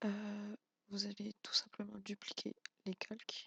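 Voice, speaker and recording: Quiet and at a fairly slow pace, a man speaks with a dry, close sound that has no echo. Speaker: YouTube tutorial maker. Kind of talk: tutorial. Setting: home, at night, not to wake wife. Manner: quiet, subdued voice; hesitant, many fillers.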